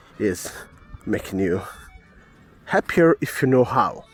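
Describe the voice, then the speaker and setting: A man speaks at a fairly slow pace in a medium pitch, his intonation lively, with music playing in the background. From Italy. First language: Italian. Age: 30s. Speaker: podcast host, holistic wellness coach. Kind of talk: personal testimony podcast. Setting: walking outdoors. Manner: halting, with many fillers.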